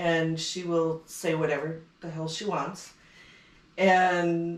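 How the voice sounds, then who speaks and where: At a very slow pace, a woman speaks with a Minnesota accent and a fairly low pitch. Her intonation is monotone and flat, while her loudness swings a lot. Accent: Upper Midwest (Minnesotan). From northern Minnesota. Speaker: podcast guest. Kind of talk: casual chat.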